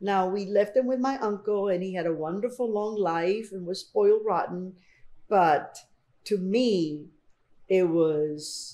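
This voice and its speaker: A woman with a Spanish accent speaks at a medium pitch and a moderate pace. Her tone is dark and mellow, and her intonation is lively. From Colombia, then Miami and Houston from age 12. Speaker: artist. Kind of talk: oral history interview.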